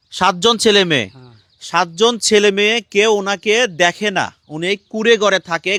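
The voice is raised and projected, with a bright, sharp tone, fairly even intonation, and a dry, close sound with no echo. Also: man. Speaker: charity vlogger. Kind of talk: on-location charity video interview.

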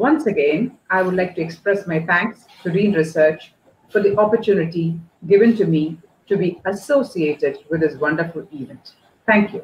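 A somewhat breathy woman's voice with light background noise and audible room echo. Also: ordinary pitch variation, moderate pace. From India. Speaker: college dean. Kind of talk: welcome address. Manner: formal. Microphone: earbuds.

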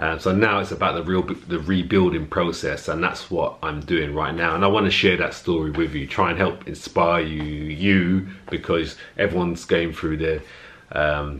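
A man speaks with a very deep, low pitch. His intonation is fairly even and his pace moderate. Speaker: fitness vlogger. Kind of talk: casual vlog chat. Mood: earnest, motivational. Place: home room. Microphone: phone near.

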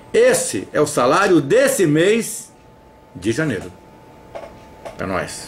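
Over light background noise, a man speaks at a very slow pace. His speech has long, frequent pauses. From Brazil. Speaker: activist denouncing a councilman. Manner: loud, insistent, indignant; repeatedly addresses the councilman by name, pleading and accusing. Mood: indignant, accusatory. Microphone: headset.

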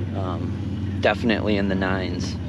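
The recording has loud background noise and a dry sound with no echo. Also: man. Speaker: angler vlogger. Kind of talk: casual vlog chat. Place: tent. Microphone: phone near.

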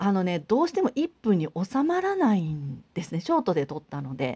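With very wide pitch swings, a woman talks at a moderate pace in a dry, close sound with no echo, on a very clean recording with a silent background. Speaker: high school teacher and pianist YouTuber. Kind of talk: casual vlog talk to camera. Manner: chatty with many fillers.

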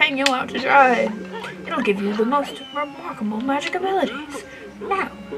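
Lively intonation carries this natural reading voice.

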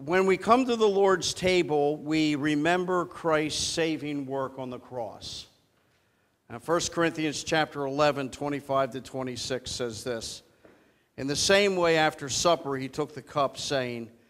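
With ordinary pitch variation, a man's speech unfolds at a very slow pace. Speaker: preacher. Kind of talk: sermon. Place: church.

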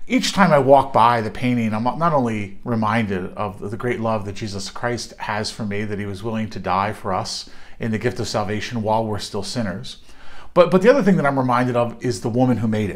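Nothing much can be heard behind him. This man talks fairly quickly, his pitch varying in an ordinary way. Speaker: clergy or minister. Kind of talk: devotional reflection. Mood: warm, earnest. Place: home room. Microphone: phone near.

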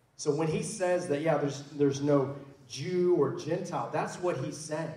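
In an American accent, a man speaks at a moderate pace with fairly high pitch. Audible room echo surrounds his voice. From Oklahoma. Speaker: pastor. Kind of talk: church panel discussion. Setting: church. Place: church.

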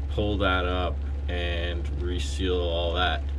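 A man with a very deep, low pitch speaks at a very slow pace with ordinary pitch variation. Noticeable background noise runs beneath him. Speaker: solo sailor vlogger. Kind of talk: casual vlog chat. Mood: calm, slightly resigned. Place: boat. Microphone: phone near.

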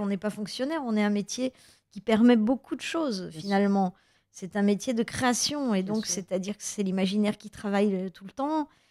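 A woman with a normal speaking voice and a fairly high pitch talks at a moderate pace with ordinary pitch variation, on a very clean recording with a silent background and a dry, close sound with no echo. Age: 50s. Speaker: actress and author. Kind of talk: radio interview. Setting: radio studio.

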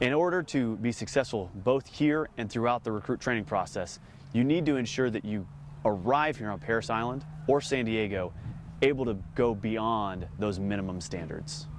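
A man speaks at a moderate pace with lively intonation. The sound is dry with no echo, over light background noise. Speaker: Marine officer, company commander. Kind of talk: explanatory interview. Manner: formal, measured, informative. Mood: calm, matter-of-fact. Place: open country. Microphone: lapel.

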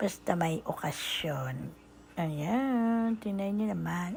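Her pace is very slow and her voice somewhat breathy. This woman's intonation is lively. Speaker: vlogger. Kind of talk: shopping vlog voice-over. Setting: department store. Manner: casual, filler-heavy.

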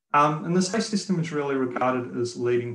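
The man has an Australian accent and a somewhat breathy voice. There is audible room echo. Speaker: road safety engineer and instructor; instructor. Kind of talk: webinar presentation. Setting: video call. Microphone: webcam.

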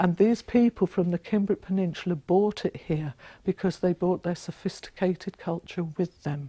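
Somewhat breathy and dark, mellow in tone, a woman's voice sounds dry with no echo against a quiet background. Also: ordinary pitch variation, moderate pace. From London. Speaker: author and local historian. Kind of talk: mythic history narration, solemn storytelling of ancient tribes and the massacre. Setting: talk to a live audience. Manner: earnest, reverent, measured; passionate, rousing. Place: classroom.

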